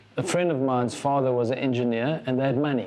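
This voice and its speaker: Noticeable background noise surrounds a man whose medium-pitched voice keeps fairly even intonation. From South Africa. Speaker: business founder and CEO. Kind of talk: interview.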